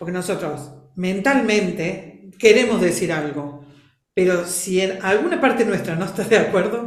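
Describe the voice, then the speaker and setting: The speech moves at a fairly slow pace with ordinary pitch variation, and there is audible room echo. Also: woman, medium pitch for a woman. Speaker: family constellations facilitator. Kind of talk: interview. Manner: expressive.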